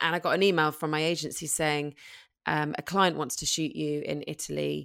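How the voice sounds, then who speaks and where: A woman with a London accent at a moderate pace, on a very clean recording with a silent background. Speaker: model and parenting blogger. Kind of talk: casual interview chat.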